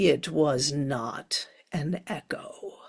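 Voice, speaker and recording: This put-on character voice is gravelly and sits at a middle pitch. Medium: solo performance. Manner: taunting.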